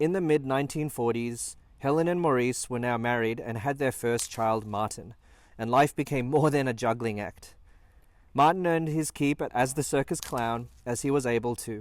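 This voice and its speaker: This is an unremarkable speaking voice from a man at medium pitch, with ordinary pitch variation and a moderate pace. The recording is very clean, with a silent background. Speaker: family documentary narrator. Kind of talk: documentary narration.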